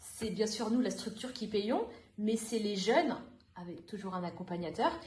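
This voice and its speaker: A woman talks at a moderate pace in a fairly high pitch. There is audible room echo. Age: 30s. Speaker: youth worker trainee, former language teacher. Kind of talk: podcast interview.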